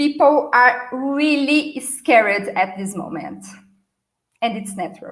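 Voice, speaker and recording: Speaking at a very slow pace, a woman with a Brazilian accent uses lively intonation. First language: Portuguese. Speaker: marketing and customer experience speaker. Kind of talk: conference talk. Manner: hesitant with fillers.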